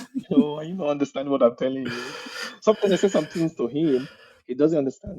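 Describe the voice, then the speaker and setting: Speaking at a very fast pace, a man with a Nigerian accent uses lively intonation and a fairly high pitch. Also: big swings in loudness. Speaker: technical recruiter, immigrant. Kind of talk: casual interview chat. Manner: animated.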